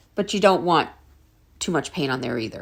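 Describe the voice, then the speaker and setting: This woman has an American accent, and the recording is very clean with a silent background. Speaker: craft tutorial maker. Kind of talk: tutorial. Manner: slow.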